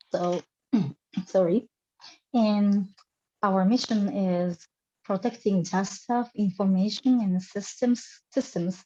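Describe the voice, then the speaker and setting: With a Japanese accent, a woman talks at a very slow pace in a medium-pitched, somewhat breathy voice with fairly even intonation. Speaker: military officer. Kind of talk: interview. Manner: halting.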